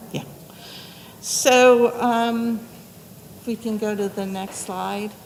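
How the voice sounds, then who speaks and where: The speech is very slow, with long, frequent pauses and a monotone, flat intonation. Noticeable background noise runs underneath. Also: woman, big swings in loudness. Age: 70s. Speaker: advisory board chair. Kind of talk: public presentation. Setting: community center meeting room.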